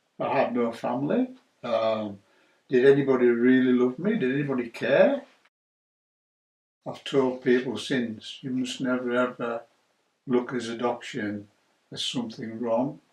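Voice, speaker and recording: A man with a Cumbrian accent, fairly even intonation and long, frequent pauses. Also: medium pitch for a man, fairly slow pace. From northern England, Carlisle, Cumbria. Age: 60s. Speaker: churchgoer sharing faith story. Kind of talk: testimony. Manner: hesitant, with many fillers.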